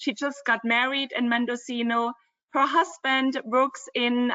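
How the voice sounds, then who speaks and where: A woman speaks with a German accent at a high pitch. Her pace is fairly slow and her intonation fairly even. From Germany, Dresden (former East Germany). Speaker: travel company co-founder. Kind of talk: webinar presentation.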